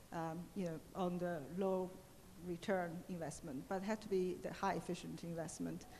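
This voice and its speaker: A woman with a Chinese accent speaks at a moderate pace in a fairly low pitch, with fairly even intonation, a dark, mellow tone and audible room echo. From China. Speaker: economist. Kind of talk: Q&A panel answers. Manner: halting, many fillers.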